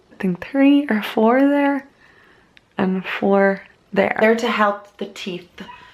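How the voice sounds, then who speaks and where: A woman with an Irish accent talks at a fairly slow pace over noticeable background noise. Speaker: beauty vlogger. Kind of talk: casual vlog talk to camera.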